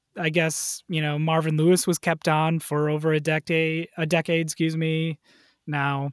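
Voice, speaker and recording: A man with an American accent talks at a moderate pace in a fairly high pitch. The recording is very clean and dry, close with no echo and a silent background. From Wisconsin, US Midwest. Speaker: writer and sports fan. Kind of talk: casual chat.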